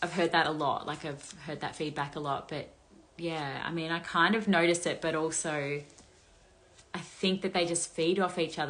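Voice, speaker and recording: A woman speaks in an Australian accent. Her pace is moderate and her intonation fairly even. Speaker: influencer gossip commentator; commentator answering viewer questions. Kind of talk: casual monologue, commentary. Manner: casual, chatty. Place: home room. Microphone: phone near.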